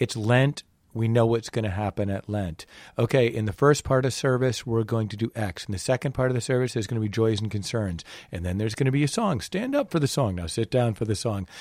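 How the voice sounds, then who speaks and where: On a very clean recording with a silent background and a dry, close sound with no echo, a man talks very fast at a medium pitch with ordinary pitch variation. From New England. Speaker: podcast host. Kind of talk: casual chat.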